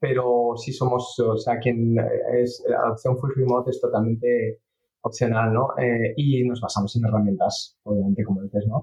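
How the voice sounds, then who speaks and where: At a moderate pace, a man speaks in a medium pitch, somewhat breathy and flat in intonation. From England. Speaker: startup CEO and software engineer. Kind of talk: interview. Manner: halting.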